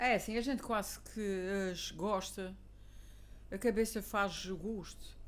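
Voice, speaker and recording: Woman's voice at medium pitch, fairly even in intonation, at a very slow pace. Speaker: teacher. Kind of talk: casual conversation.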